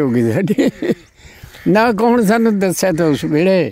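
The sound is dry with no echo as a man speaks at a high pitch. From East Punjab, India. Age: 80s+. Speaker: partition survivor; interviewee. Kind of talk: oral history interview. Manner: halting. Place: open country. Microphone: handheld.

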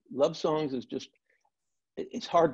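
There is little sound behind this man. His tone is dark and mellow, and he talks at a moderate speed. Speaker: guest. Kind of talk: interview answer. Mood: relaxed, warm storytelling. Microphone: video call.

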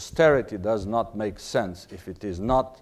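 A man speaks very slowly with a Portuguese accent. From Portugal. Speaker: diplomat; ambassador giving lecture. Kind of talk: lecture. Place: hall. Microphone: lapel.

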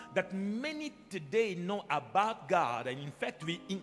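Music plays faintly behind. A man talks very slowly. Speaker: pastor. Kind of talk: sermon. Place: church. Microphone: handheld.

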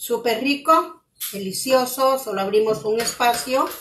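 A woman talks at a fairly slow pace with a high pitch and lively intonation. Light background noise is present. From Guatemala. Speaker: cooking channel host. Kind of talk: live cooking demonstration. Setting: home kitchen, live stream. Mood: warm, grateful. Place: kitchen.

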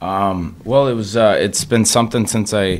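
Male speech at a fairly slow tempo. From Minnesota, US. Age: 30s. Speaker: ice hockey player; guest. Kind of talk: interview. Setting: radio studio. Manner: hesitant, many fillers. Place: studio. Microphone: studio mic.

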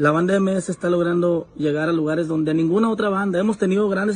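A man talks in a high pitch with fairly even intonation. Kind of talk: casual vlog chat, opinion. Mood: proud, earnest. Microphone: phone near.

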